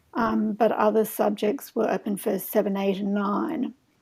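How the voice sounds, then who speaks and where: Speaking at a moderate speed, a woman talks with an Australian accent. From Australia, Sydney. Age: 70s. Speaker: herbalist. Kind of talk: casual chat.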